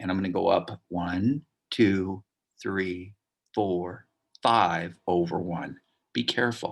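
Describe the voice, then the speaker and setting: Very slowly, a man speaks with a very deep, low pitch and ordinary pitch variation. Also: quiet background. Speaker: math teacher. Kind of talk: tutorial.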